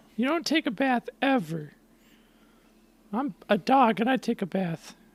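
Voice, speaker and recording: A man performs a put-on character voice pitched extremely high. He talks at a moderate pace. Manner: taunting.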